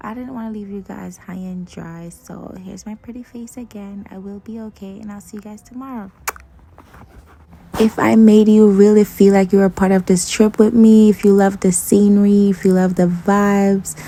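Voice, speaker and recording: Monotone, flat intonation at a moderate pace sits against noticeable background noise. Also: woman, medium pitch for a woman. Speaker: travel vlogger. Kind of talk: vlog monologue. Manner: casual, chatty.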